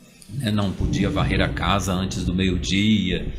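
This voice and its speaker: A somewhat breathy man's voice, fairly low in pitch, at a fairly slow pace, with audible room echo. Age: 40s. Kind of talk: interview. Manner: hesitant, many fillers.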